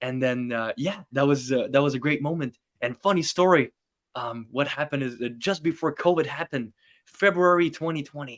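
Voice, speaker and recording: With a French accent, a man talks at a fairly quick pace with ordinary pitch variation, his dry, close sound having no echo on a very clean recording with a silent background. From northern Quebec, Canadian Arctic. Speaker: magician. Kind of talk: casual chat.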